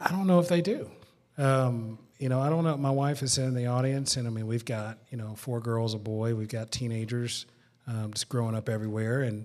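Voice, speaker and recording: Here a man speaks with a Southern US accent at a medium pitch, his intonation fairly even. The recording is very clean, with a silent background. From rural West Tennessee. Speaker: pastor. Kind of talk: live panel discussion. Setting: museum with live audience.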